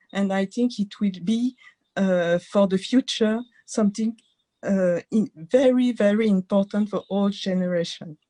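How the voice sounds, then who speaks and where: A woman with a French accent speaks at a fairly slow pace in a dark, mellow tone, her medium pitch showing ordinary variation in a dry, close sound with no echo. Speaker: entrepreneur. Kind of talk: webinar contribution. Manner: halting.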